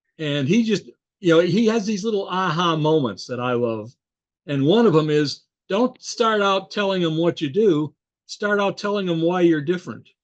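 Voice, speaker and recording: Using lively intonation, a man with a high pitch talks at a moderate pace. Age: 70s. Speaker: veteran independent sales representative and consultant. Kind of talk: podcast interview.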